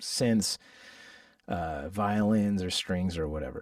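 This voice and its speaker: This clip features a male speaker. It is very cleanly recorded against a silent background. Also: dry, close sound with no echo. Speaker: musician teaching a workshop. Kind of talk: live tutorial workshop. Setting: livestream with chat. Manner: casual, halting with fillers.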